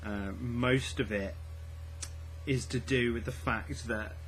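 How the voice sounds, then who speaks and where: A man speaks at a very slow pace. There is audible room echo and noticeable background noise. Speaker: book vlogger. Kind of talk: casual vlog. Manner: quiet; hesitant, many fillers and repeats.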